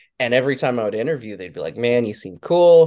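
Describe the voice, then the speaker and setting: A man with an American accent, a medium pitch and a dark, mellow tone. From Wyoming, US. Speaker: guitar tech. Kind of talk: casual interview chat.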